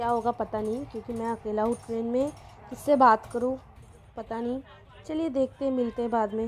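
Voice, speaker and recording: Against light background noise, a woman speaks at a fairly slow pace with monotone, flat intonation. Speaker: travel vlogger. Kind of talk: casual vlog chat. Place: train. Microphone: phone near.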